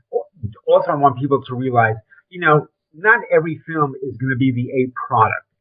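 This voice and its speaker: A man talks in a Brooklyn accent. He speaks at a fairly quick pace. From New York (Brooklyn). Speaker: film industry veteran. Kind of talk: interview. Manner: casual, filler-heavy.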